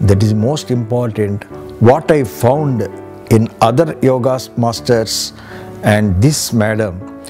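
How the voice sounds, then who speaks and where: Speaking at a very slow pace, a man with a medium-pitched voice uses ordinary pitch variation while music plays in the background. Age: old. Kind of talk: interview answer.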